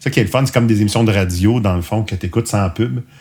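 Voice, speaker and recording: A man's somewhat breathy, dark, mellow voice with ordinary pitch variation. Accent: Quebec. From Quebec. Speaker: podcast host. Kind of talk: casual podcast outro monologue. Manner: hesitant, many fillers.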